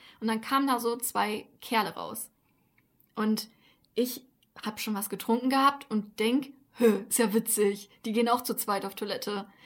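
A woman talks in an ordinary speaking voice, pitched fairly high, with fairly even intonation. The recording is very clean, with a silent background. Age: 20s. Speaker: podcast co-host. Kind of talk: casual chat.

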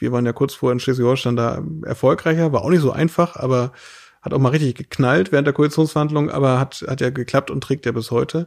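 With a normal speaking voice, a man at medium pitch talks at a fairly quick pace with fairly even intonation on a very clean recording with a silent background. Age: 30s. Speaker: state politician. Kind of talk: casual interview. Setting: host's living room.

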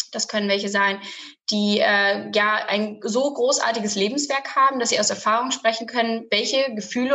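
With a plain, everyday voice, a woman speaks at a moderate pace and a fairly high pitch, with ordinary pitch variation. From Lower Saxony, near Bremen-Oldenburg. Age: 20s. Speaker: family business representative and student. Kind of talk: interview. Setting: studio.

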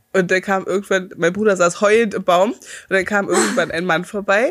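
A woman talks at a moderate pace with an ordinary speaking voice. Her pitch varies in an ordinary way. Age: 30s. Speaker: podcast co-host. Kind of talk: casual chat.

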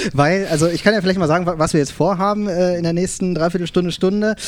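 Speaking at a very fast pace, a man talks in a high-pitched voice. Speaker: podcast co-host, corporate marketer. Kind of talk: live podcast panel chat. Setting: live event with audience. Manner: animated, gestures while speaking.

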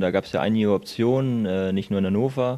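A man talks at a fairly quick pace in a fairly low voice. His tone is dark and mellow, and his intonation is fairly even. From Lower Saxony, Hildesheim. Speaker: handball player. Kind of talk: interview. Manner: hesitant, many fillers.

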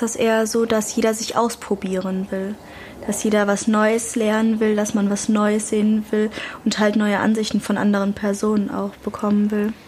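Over noticeable background noise, the intonation stays flat and monotone. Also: woman, fairly high pitch for a woman, moderate pace. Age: young. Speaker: youth podcast co-host. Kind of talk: casual chat.

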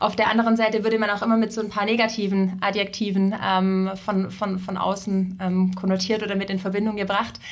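A woman in a monotone, flat intonation, hardly any pauses, audible room echo. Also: medium pitch for a woman, fairly quick pace. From southern Germany, Ravensburg area. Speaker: succession and career coach. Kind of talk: casual interview. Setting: in-person studio visit.

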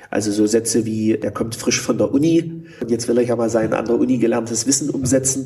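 Over noticeable background noise, a man with a medium pitch talks at a fairly quick pace, keeping his loudness very even and his intonation fairly even. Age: 30s. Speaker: healthcare manager, former intensive care nurse. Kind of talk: interview. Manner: hesitant, many filler sounds.

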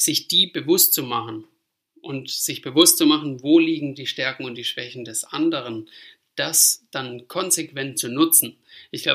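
A man's voice with a bright, sharp tone. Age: 30s. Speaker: fitness manager in family trade business. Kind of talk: interview. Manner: hesitant, many filler sounds.

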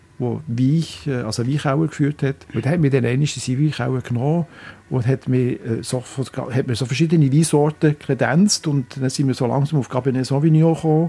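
Somewhat breathy and dark, mellow in tone, a man's medium-pitched voice moves at a fairly quick pace. His pitch variation is ordinary. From Switzerland, Biel. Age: 60s. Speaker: local politician. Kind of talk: interview. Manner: halting.

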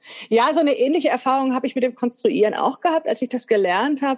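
This woman speaks with a high pitch. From Hesse, Frankfurt. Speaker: podcast host, sewing teacher. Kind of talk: interview chat.

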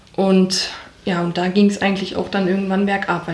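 Noticeable background noise and audible room echo surround a woman speaking at a medium pitch. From Ruhr area, Germany (Wattenscheid). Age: 30s. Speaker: bereaved daughter of suicide victim. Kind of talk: personal testimony. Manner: halting.

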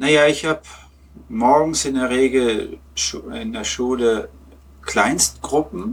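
A man with a fairly high pitch speaks at a very slow pace, leaving long, frequent pauses. His pitch swings very widely. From Lower Saxony, Germany (Peine). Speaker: German teacher and football fan. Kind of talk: casual interview. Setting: remote online call.

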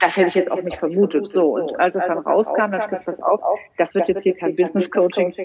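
A woman with a medium pitch speaks at a fairly quick pace with fairly even intonation. Noticeable background noise is present. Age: 50s. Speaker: money mindset coach. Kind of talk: interview. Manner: halting, many repetitions.

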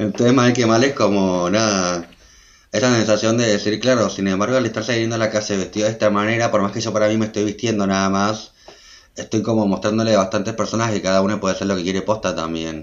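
Fairly even intonation carries this very fast delivery. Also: man, fairly low pitch for a man. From Argentina, Buenos Aires province. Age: 20s. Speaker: fashion designer. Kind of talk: interview conversation. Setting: video call.

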